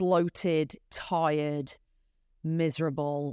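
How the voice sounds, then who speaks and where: A woman with a British accent speaks in a very deep, low voice and a monotone, flat intonation, recorded with a dry, close sound with no echo against a quiet background. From UK. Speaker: podcast guest, former executive. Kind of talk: casual interview.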